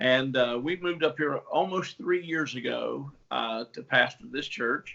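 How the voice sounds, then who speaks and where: Fairly high male voice, unhurried delivery and normal pitch movement. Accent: strong Appalachian. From West Virginia and Tennessee. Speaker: pastor. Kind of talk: casual interview.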